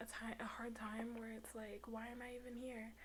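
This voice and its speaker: Noticeable background noise sits behind a soft-spoken voice. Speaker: tarot reader. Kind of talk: spiritual monologue to camera.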